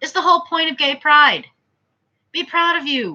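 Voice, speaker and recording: A woman projects a raised, high-pitched voice with a bright, sharp tone. She speaks at a fairly slow pace against a quiet background. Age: 30s. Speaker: vlogger. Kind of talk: casual monologue vlog.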